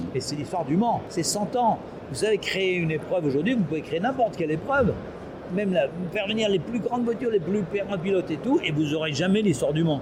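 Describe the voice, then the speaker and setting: A high-pitched man at a very fast pace, lively intonation over noticeable background noise. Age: 70s. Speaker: company founder. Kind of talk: interview. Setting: trade show. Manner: halting.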